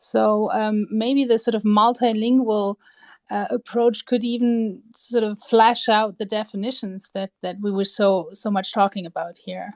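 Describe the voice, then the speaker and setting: A woman speaks with fairly high pitch and fairly even intonation. The recording is very clean, with a silent background. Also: dry, close sound with no echo. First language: not English. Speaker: historian. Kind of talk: casual chat.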